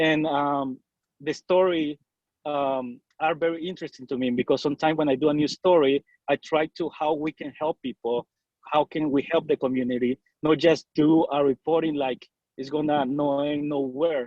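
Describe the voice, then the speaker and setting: The speaker has a Salvadoran accent and a moderate pace. The intonation is monotone and flat. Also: man, fairly high pitch for a man. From El Salvador. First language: Spanish. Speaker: bilingual TV news reporter. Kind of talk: casual interview. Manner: halting.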